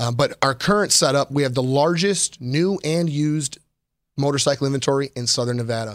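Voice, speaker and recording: In a normal speaking voice, a man with an American accent talks at a fairly high pitch with ordinary pitch variation, the sound dry and close with no echo. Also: fairly quick pace. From Chicago, Illinois. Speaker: motorcycle dealership service manager and show host. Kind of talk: live-streamed show, casual presentation. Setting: studio.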